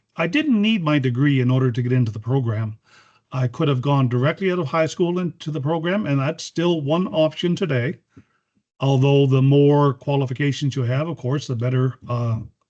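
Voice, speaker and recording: Pitch varies in an ordinary way. The delivery holds a moderate pace. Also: man, fairly high pitch for a man. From Miramichi, New Brunswick, Canada. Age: 50s. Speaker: respiratory therapist. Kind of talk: educational presentation.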